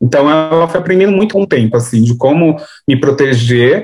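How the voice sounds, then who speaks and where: Fairly high in pitch, a normal speaking voice from a man, full of lively intonation. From São Paulo, Brazil (Grajaú, south side periphery). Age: 20s. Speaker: artist and activist, content creator. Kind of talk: interview conversation.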